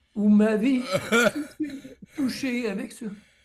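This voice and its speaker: A man talks at a very slow pace, with ordinary pitch variation. There is audible echo from the room. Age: 60s. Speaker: author. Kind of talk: radio interview.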